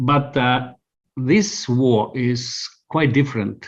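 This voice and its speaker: A man with an Estonian accent speaks at a medium pitch, sounding somewhat breathy. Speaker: communications consultant. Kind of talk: interview answer.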